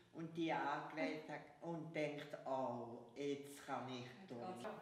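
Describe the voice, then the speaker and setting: A woman speaks at a very slow pace with a very deep, low pitch and ordinary pitch variation. Room echo is audible, and there is light background noise. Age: 80s+. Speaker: gymnastics teacher, founder of parent-child gymnastics. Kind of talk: interview answer. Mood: warm, cheerful. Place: home room.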